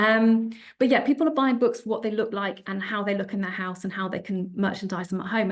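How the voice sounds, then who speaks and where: A woman speaks with a British accent at medium pitch and a fairly quick pace. Her intonation is fairly even, and the background is quiet. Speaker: publishing sales executive, panelist. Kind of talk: panel presentation. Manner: fast.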